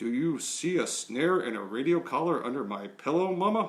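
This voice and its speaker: A man performs a put-on character voice at a fairly high pitch. He keeps a moderate pace. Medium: read story.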